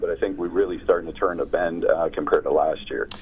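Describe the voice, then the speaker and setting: Noticeable background noise sits behind a man with an American accent who speaks at a very fast pace. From Pittsburgh, Pennsylvania. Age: 50s. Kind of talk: interview.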